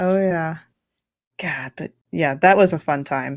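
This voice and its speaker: A woman with an American accent speaks in a plain, everyday voice at a fairly low pitch and a moderate pace, with fairly even intonation, on a very clean recording with a silent background. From Kansas, US. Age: 30s. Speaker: live stream co-host. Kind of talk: casual chat. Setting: live stream.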